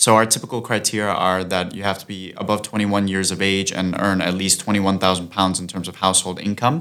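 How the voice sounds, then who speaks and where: Monotone and flat in intonation, the voice races along at a very fast pace. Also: man, fairly low pitch for a man. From Austria. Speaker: startup co-founder. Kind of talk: casual interview. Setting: studio.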